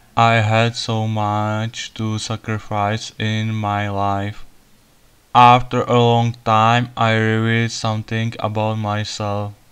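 A man speaks with a non-native accent at a very slow pace. His intonation is monotone and flat. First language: not English. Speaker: solar panel hobbyist. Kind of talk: casual talk to camera. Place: garden. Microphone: phone near.

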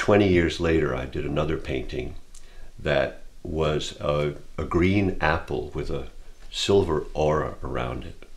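Very deep and low, this man's voice carries vocal fry. He speaks at a fairly slow pace. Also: ordinary pitch variation. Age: 60s. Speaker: painter. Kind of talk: personal testimony. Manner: reflective, with frequent hesitations. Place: home room.

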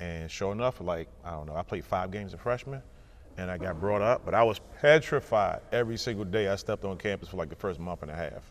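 The pace is very fast, with ordinary pitch variation. Loudness swings widely throughout. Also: man, fairly low pitch for a man. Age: 40s. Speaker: college basketball coach. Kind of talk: casual chat. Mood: reminiscent, lightly humorous. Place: hall. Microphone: lapel.

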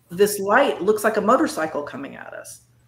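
Audible room echo around a woman's speech. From northern California. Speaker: cryptid and paranormal researcher; guest. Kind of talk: casual interview chat. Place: home room.

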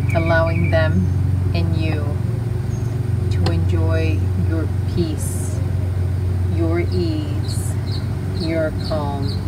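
A woman at a very slow pace, with long, frequent pauses and loud background noise. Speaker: meditation guide. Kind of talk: guided meditation. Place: garden. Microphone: phone near.

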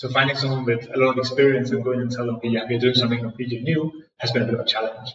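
This man talks very fast with hardly any pauses, in a Danish accent. His medium-pitched voice stays monotone and flat. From Denmark. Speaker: music streaming startup founder. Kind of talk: interview. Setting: echoey room in a co-working space. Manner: hesitant with fillers and repetitions.

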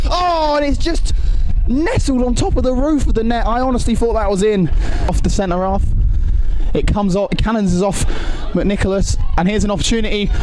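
Noticeable background noise sits behind the voice. The talking is fairly quick. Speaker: football commentator. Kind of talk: live-style play-by-play football commentary over match highlights. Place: stadium.

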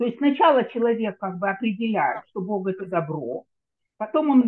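Lively in intonation and moderate in pace, this is a normal speaking voice. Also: woman. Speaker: audience member asking questions. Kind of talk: online Q&A. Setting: video call.

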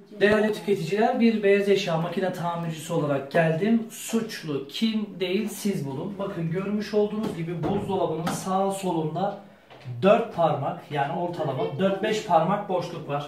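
Speaking at a moderate pace with ordinary pitch variation, a high-voiced man is heard in a room with audible echo and light background noise. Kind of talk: casual talk to camera, complaint to viewers. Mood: indignant, sarcastic. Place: kitchen. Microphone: phone near.

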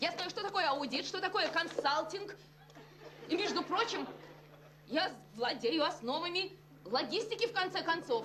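A woman talks at a moderate pace in an extremely high pitch, with long, frequent pauses. Noticeable background noise runs underneath. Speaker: sitcom actress. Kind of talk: acted dialogue, emotional monologue. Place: office.

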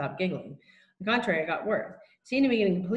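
The reading aloud is in a natural voice with ordinary pitch variation, and the background is quiet.

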